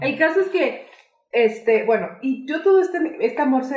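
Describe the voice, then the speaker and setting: A woman with a Mexican accent, animated in tone and lively in intonation, amid audible room echo. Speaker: podcast co-host. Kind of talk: casual chat.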